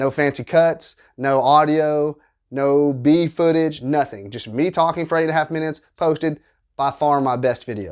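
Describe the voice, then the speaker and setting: A man speaks with a Southern US accent at a moderate pace. His intonation is fairly even, on a very clean recording with a silent background. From US South. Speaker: small YouTuber, tabletop game content creator. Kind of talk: casual advice monologue to camera.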